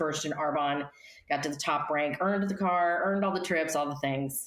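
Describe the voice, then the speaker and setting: In an American accent, a woman talks at a moderate pace in a normal speaking voice with ordinary pitch variation. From US, Colorado (Denver). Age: 60s. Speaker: life coach and speaker. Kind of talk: interview.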